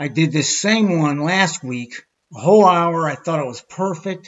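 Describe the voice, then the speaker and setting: A man with an American accent, fairly high in pitch, at a fairly slow pace. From Pittsburgh, USA. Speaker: video creator. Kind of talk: casual presentation practice. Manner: hesitant, many fillers. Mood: wry, mildly frustrated. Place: home room. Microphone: webcam.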